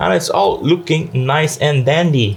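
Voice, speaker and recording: This man has a Dutch accent and a fairly high voice, talking at a moderate pace with lively intonation. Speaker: tech YouTuber. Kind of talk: product unboxing and review. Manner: casual, conversational.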